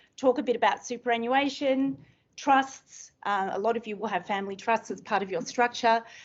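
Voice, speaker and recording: This is a woman with an Australian accent. Her voice sits at a fairly high pitch. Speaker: estate planning lawyer. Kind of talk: seminar presentation. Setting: room with live audience.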